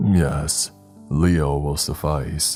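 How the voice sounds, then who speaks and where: Over clear music in the background, a man uses a put-on character voice that is raspy and very deep, with a very low pitch. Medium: read story. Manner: formal, archaic phrasing.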